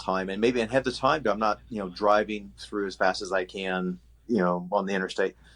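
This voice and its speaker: Against a quiet background, a man with an American accent talks at a fairly quick pace, his pitch fairly low and his intonation fairly even. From Oklahoma. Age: 60s. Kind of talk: casual interview chat. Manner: halting, many fillers.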